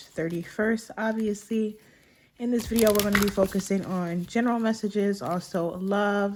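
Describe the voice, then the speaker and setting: Noticeable background noise runs under the recording. A woman speaks with fairly even intonation. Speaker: tarot reader. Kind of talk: tarot reading video.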